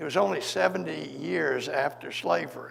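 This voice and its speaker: Very wide pitch swings in a Memphis accent at a moderate pace, with audible room echo and noticeable background noise. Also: man. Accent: Southern US (Memphis). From US South, Memphis, Tennessee. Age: 80s+. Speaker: civil rights lawyer. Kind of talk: onstage interview, storytelling.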